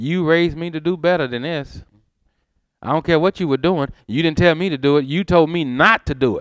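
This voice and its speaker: A man with an American accent talks fairly quickly in an ordinary speaking voice, fairly high-pitched, with ordinary pitch variation. The sound is dry and close with no echo. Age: 50s. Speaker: pastor. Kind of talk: sermon. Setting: church.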